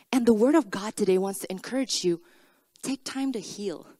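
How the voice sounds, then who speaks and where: A woman with a non-native accent and a fairly high pitch talks at a moderate pace with lively intonation, in a dry, close sound with no echo. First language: not English. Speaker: preacher. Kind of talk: sermon. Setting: church.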